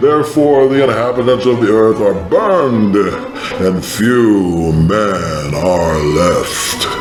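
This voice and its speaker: A put-on character voice moves at a very slow pace. Loud background noise fills the recording. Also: man, medium pitch for a man. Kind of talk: scripture reading.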